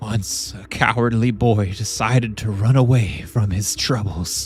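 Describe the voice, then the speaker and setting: Using a raspy, put-on character voice, a man speaks at medium pitch. His pace is fairly slow. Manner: quiet.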